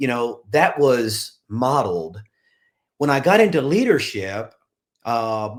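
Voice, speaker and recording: A man at medium pitch speaks very slowly, with very wide pitch swings and long, frequent pauses. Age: 60s. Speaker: leadership author. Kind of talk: interview.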